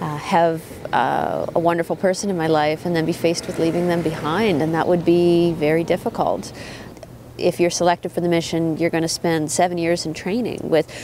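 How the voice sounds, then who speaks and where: A woman's fairly low pitch with a Canadian accent, at a moderate pace, over noticeable background noise. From Prince Edward Island, Canada. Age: 30s. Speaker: prosecutor. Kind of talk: documentary interview. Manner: hesitant, many fillers.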